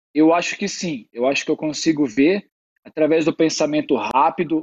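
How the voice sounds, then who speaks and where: Fairly high-pitched, a man with an ordinary speaking voice talks at a moderate pace with fairly even intonation. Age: 30s. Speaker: futsal player. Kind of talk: casual interview chat.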